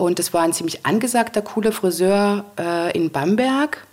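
Noticeable background noise sits behind this voice. A woman speaks with lively intonation. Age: 40s. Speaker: event manager. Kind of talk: interview. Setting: at her home.

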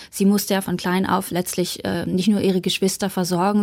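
Recorded very cleanly against a silent background, a woman speaks at medium pitch with monotone, flat intonation. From eastern Germany, Saxony (Bautzen). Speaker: journalist and author. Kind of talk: radio interview.

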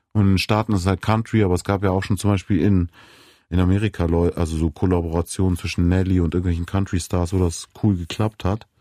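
Very deep, low-pitched man at a very fast pace, monotone and flat, with very even loudness and a dark, mellow tone, in a dry, close, very clean recording with a silent background. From Munich, Bavaria. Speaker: rapper and songwriter. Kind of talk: casual interview. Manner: hesitant with many fillers.

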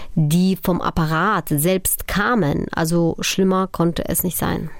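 Speaking very slowly, a woman uses a fairly low voice. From Upper Silesia, Poland. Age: 40s. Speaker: documentary filmmaker and journalist. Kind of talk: interview. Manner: hesitant with many fillers.

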